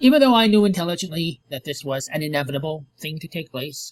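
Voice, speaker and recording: A man talks at a very fast pace with a fairly high pitch and lively intonation. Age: 50s. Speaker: vlogger. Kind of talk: personal vlog monologue.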